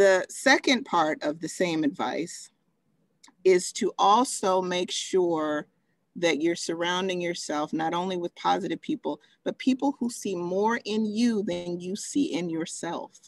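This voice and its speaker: In a normal speaking voice, a woman of medium pitch talks at a fairly slow pace with lively intonation, the sound dry and close with no echo. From Texas. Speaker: pharmaceutical medical director, invited speaker. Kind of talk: Q&A in a virtual talk. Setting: video call.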